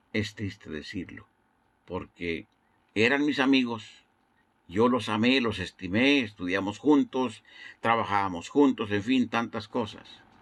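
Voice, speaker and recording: On a very clean recording with a silent background, a man with a plain, everyday voice speaks fairly slowly at a medium pitch, with ordinary pitch variation. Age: 60s. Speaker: evangelist. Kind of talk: sermon. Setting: internet broadcast.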